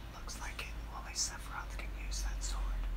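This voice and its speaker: The speaker whispers softly at a moderate pace. Loud background noise fills the recording. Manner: soft whispered game line.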